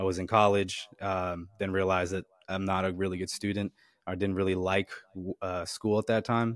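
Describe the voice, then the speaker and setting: In a very clean recording with a silent background and a dry, close sound with no echo, a man with a very deep, low voice speaks at a moderate pace in a monotone, flat intonation with an American accent. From New Jersey. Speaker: K9 handler and trainer. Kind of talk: podcast interview.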